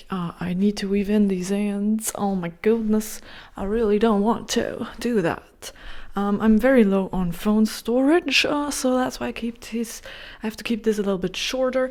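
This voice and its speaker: Quiet speech from a woman comes at a moderate pace. Her pitch variation is ordinary. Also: fairly high pitch for a woman. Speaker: knitting vlogger. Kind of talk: casual vlog to camera. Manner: animated.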